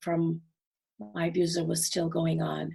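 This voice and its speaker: Her voice is somewhat breathy. The woman speaks at a fairly slow pace. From Trinidad and Tobago. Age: 60s. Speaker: domestic abuse survivor and foundation founder. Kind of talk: interview.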